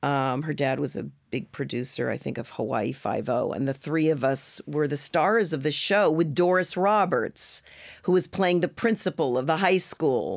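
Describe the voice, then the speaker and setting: The speech has vocal fry and lively intonation, on a very clean recording with a silent background. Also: woman, moderate pace. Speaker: actress. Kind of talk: casual interview chat. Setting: studio.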